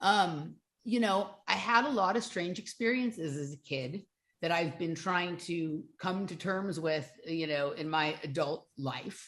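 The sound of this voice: The voice has ordinary pitch variation and a fairly bright tone. It moves at a fairly slow pace. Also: woman, fairly low pitch for a woman.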